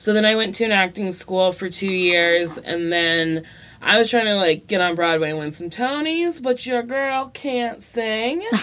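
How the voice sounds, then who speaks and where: Speaking at a fairly slow pace, a woman leaves hardly any pauses. Her pitch is medium and her intonation lively. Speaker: comedian and sitcom star. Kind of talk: casual chat. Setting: studio. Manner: loud, energetic.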